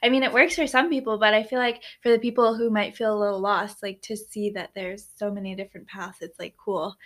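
Delivered at a very fast pace with hardly any pauses, the speech shows big swings in loudness and ordinary pitch variation. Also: woman, fairly high pitch for a woman. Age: 20s. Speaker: podcast host. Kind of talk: casual interview. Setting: in person in a warehouse.

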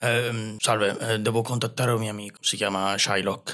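This man's voice sits fairly low and carries a fairly bright tone. His pitch moves little, and his pace is moderate.

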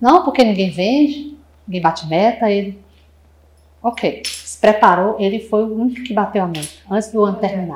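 Somewhat breathy and with lively intonation, a woman speaks with long, frequent pauses. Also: moderate pace. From Brazil, Fortaleza, Ceará. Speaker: marketing manager of a sales consultancy. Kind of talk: podcast interview.

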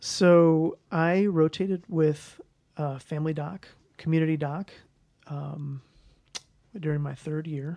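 Delivered in a Midwestern American accent, the speech moves at a very slow pace with long, frequent pauses. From US Midwest, St. Louis. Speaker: family medicine residency program director. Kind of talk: interview conversation.

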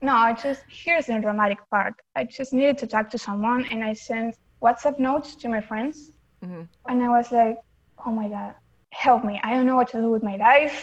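In an Argentine accent, a woman talks at a fairly quick pace. Her pitch is fairly high, with ordinary variation. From Argentina. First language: Spanish. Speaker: fandom account runner. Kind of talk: casual chat.

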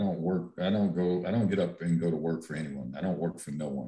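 Dark and mellow in tone, this voice carries vocal fry and ordinary pitch variation. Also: man. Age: 50s. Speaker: real estate developer, panel guest. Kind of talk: casual panel discussion.

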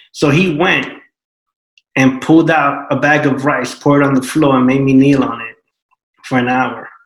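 A man with a New York accent and a fairly high pitch speaks in a flat monotone, leaving long, frequent pauses amid audible room echo. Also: moderate pace. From Brooklyn, New York (Puerto Rican family). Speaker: panel guest. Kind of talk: panel discussion.

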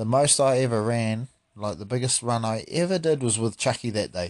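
The speaker has a New Zealand accent and ordinary pitch variation. The background is quiet. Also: man, dry, close sound with no echo. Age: 30s. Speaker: podcast host. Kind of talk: casual chat. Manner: animated.

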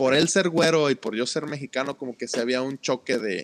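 With an unremarkable speaking voice, a man talks at medium pitch and a moderate pace with ordinary pitch variation, in a dry, close sound with no echo. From Mexico, Ciudad del Carmen, Campeche. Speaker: podcast co-host. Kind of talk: casual chat.

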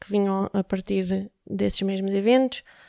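A woman with a medium-pitched voice and a dark, mellow tone speaks in a flat monotone, recorded dry and close with no echo, very clean, against a silent background. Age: 30s. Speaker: UX/UI designer and app entrepreneur. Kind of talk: interview. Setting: company office.

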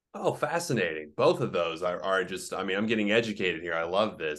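A man with an American accent speaks at a fairly quick pace over a quiet background. His unremarkable speaking voice is fairly low-pitched, with ordinary pitch variation. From Oklahoma. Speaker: podcast host. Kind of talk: interview.

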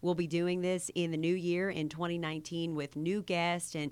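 Recorded very cleanly against a silent background, a woman speaks fairly slowly in a fairly low pitch with monotone, flat intonation. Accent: Kentucky. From Kentucky, US. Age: 30s. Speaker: TV news reporter and podcast host. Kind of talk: casual chat.

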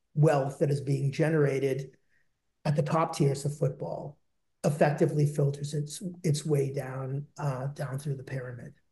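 The voice has a dark, mellow tone, somewhat breathy, with an American accent. It keeps a monotone, flat intonation at a moderate pace. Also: man. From Boston, US. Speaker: government investment official. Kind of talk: interview, professional conversational. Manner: articulate, fluent, somewhat formal.

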